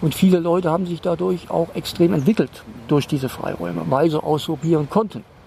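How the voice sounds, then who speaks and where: He has a normal speaking voice, pitched fairly high for a man, with ordinary pitch variation and a fairly quick pace. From Rhineland, Koblenz. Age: 60s. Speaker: resident of a trailer community. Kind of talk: casual interview.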